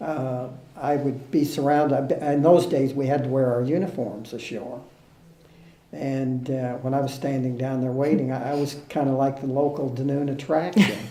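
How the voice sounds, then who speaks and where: Fairly even intonation in a Southern US accent, with audible room echo. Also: man, fairly high pitch for a man, moderate pace. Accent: American Southern. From US, Kentucky small town. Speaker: former US Navy sailor. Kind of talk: interview reminiscence. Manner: halting, many fillers.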